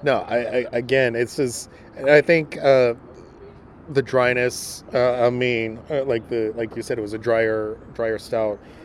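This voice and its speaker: Fairly slow, monotone speech with flat intonation over noticeable background noise. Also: man, medium pitch for a man. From Mexico. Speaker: beer taster. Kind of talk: casual chat. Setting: on location at a brewery. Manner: halting, many repeated words.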